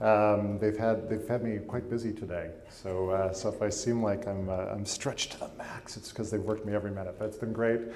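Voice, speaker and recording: There is audible room echo and noticeable background noise around a man with a Canadian accent. His pitch is fairly low, and he talks at a fairly quick pace. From Canada, Winnipeg. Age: 30s. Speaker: arts institution president. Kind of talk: public lecture.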